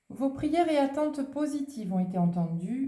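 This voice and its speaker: Pitch swings very widely as the voice carries audible room echo. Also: woman. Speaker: tarot and oracle card reader. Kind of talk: oracle card reading.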